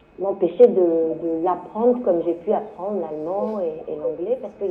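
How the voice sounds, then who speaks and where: Noticeable background noise runs behind a woman whose pitch varies in an ordinary way. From France, Le Mans. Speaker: journalist. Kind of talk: panel discussion. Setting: book fair round table. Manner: halting, many fillers and repetitions.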